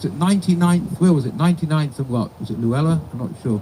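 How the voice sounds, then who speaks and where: A man with a fairly high voice talks at a very fast pace with lively intonation. Noticeable background noise runs underneath. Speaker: rabbi officiating a funeral. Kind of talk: eulogy. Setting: funeral service with mourners.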